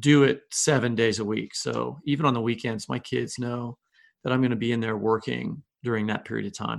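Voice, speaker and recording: A man with an unremarkable speaking voice talks at a medium pitch. His pace is fairly quick. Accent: American. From US Midwest, Kansas City. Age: 50s. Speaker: novelist and creative writing professor. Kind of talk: interview.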